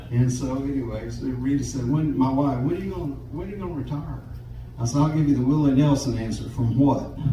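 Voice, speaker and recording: With a Southern US accent, a man talks at a fairly quick pace, and the recording has audible room echo and noticeable background noise. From US South, Jacksonville, Florida. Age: 70s. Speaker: guitarist. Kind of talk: storytelling on stage. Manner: halting, repeats words.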